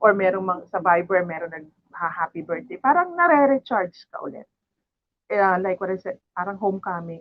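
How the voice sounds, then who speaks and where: A woman at medium pitch with ordinary pitch variation and a moderate pace, over music in the background. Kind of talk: testimony. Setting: livestream.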